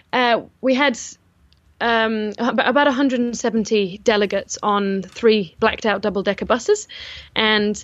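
A normal speaking voice at a moderate pace, fairly even intonation, over a quiet background. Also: woman. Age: 20s. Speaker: event organizer. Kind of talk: casual interview.

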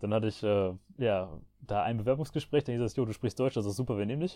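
Over a quiet background, a man at medium pitch talks at a very fast pace with ordinary pitch variation, his tone dark and mellow and the sound dry and close with no echo. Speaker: podcast host. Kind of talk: casual chat.

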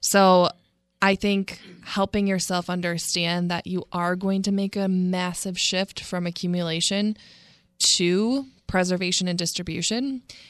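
Going at a fairly slow pace, a woman with a plain, everyday voice talks in a medium pitch with fairly even intonation. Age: 20s. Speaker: financial advisor. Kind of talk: casual chat. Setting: studio.

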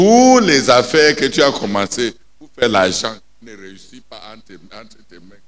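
This man, at a medium pitch and moderate pace, sounds animated, with lively intonation and big swings in loudness. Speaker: preacher. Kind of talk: sermon. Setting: prayer night, church. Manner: animated, emphatic, preaching with repetition and call-and-response.

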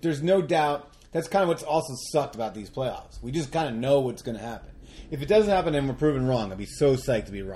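A fairly high-pitched male voice, very fast and somewhat breathy, dark and mellow in tone, with lively intonation and big swings in loudness. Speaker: podcast host. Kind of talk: casual chat.

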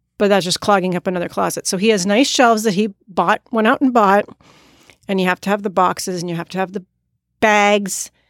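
A woman with a plain, everyday voice, medium-pitched and fairly even in intonation, fairly quick, on a very clean, silent-background recording with a dry, close sound and no echo. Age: 40s. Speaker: podcast guest, host's wife. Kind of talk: casual chat.

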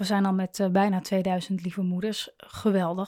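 A woman is speaking. Her pitch is medium. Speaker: podcast host and coach for mothers. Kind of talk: monologue addressing listeners. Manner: hesitant, many fillers.

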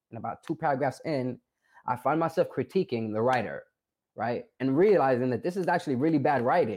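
Talking at a fairly quick pace with a New York accent, a man uses a medium pitch and ordinary pitch variation. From New York, South Bronx. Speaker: formerly incarcerated college graduate, documentary subject. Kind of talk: interview. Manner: hesitant, many filler words.

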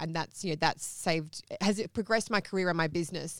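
Fairly low-pitched woman's voice with an Australian accent in a very clean recording with a silent background. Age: young. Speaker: accountant and media commentator. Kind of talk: interview. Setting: studio.

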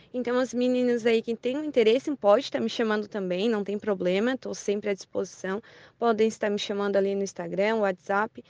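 An unremarkable speaking voice belongs to a woman with fairly high pitch and fairly even intonation. She talks at a fairly quick pace, and the sound is dry and close with no echo. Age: 20s. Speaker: tourism association member. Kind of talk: radio interview.

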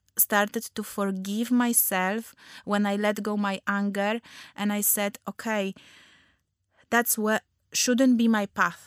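The recording is very clean with a silent background and a dry, close sound with no echo, as the voice moves very slowly in monotone, flat intonation. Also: woman. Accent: Polish. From Poland. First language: Polish. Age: 30s. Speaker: nutritional therapist and wellness podcast host. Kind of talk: personal storytelling monologue. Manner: halting, many fillers.

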